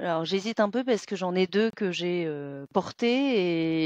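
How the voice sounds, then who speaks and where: The speech comes at a fairly slow pace with ordinary pitch variation. The sound is dry and close with no echo against a quiet background. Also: woman. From France, born in Vietnam. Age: 40s. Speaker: real estate manager. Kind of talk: interview. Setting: video call. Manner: halting, many fillers.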